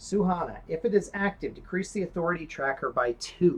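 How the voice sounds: With ordinary pitch variation, a natural reading voice delivers the text.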